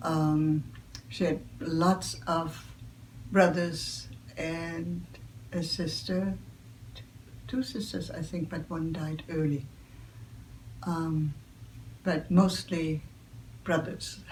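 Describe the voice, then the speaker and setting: Very slow and full of long, frequent pauses, a woman's very deep, low voice carries vocal fry and ordinary pitch variation. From Germany. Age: 80s+. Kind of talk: interview answer.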